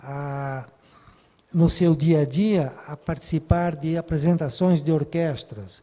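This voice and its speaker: Speaking at a very slow pace, a man shows big swings in loudness and ordinary pitch variation. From southern Brazil. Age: 70s. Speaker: cultural manager. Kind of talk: talk. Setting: online event. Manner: hesitant.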